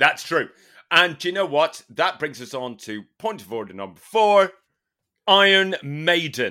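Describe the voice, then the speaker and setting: With an English accent, a man speaks at a fairly slow pace in a bright, sharp tone at a high pitch, with very wide pitch swings and big swings in loudness, on a very clean recording with a silent background. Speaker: podcast co-host. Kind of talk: casual chat.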